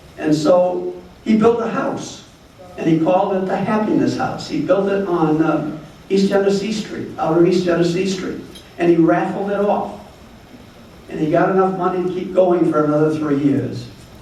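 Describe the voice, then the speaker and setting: Over noticeable background noise and audible room echo, a man with an American accent speaks at a high pitch with ordinary pitch variation. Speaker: retired doctor, former board president. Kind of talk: awards ceremony speech. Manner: fast.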